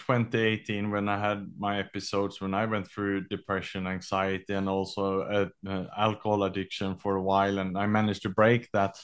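A man with a fairly low pitch talks in a flat, monotone way with hardly any pauses. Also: quiet background. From Sweden. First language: Swedish. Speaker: author and executive mental health advocate. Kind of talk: interview. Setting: remote call.

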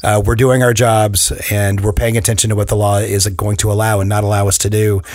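A man talks fairly quickly in a fairly low, monotone voice with flat intonation and very even loudness. Noticeable background noise can be heard. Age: 40s. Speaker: podcast host, property management. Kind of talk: interview.

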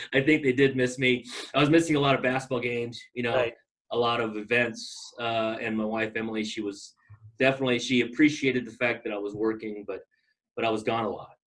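A man with an American accent speaks at a very fast pace. His pitch is medium and his intonation fairly even. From Southern California (Long Beach). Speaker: mortgage banker. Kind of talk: casual interview. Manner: hesitant, many fillers.

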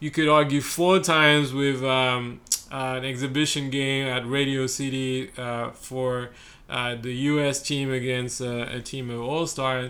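A man speaks with a bright, sharp tone at a fairly slow pace. His intonation is monotone and flat. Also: medium pitch for a man. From France. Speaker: sports podcast host. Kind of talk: casual chat.

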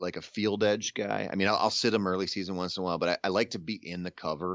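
Talking very fast at a fairly low pitch, a man uses an American accent. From southeastern Minnesota. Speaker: outdoor writer and podcaster. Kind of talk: casual interview.

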